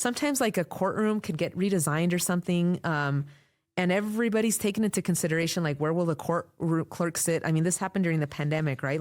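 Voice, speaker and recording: The recording is very clean, with a silent background and very even loudness. A woman with a fairly low pitch talks very fast, her pitch varying in an ordinary way. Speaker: court interpreter. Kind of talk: interview conversation.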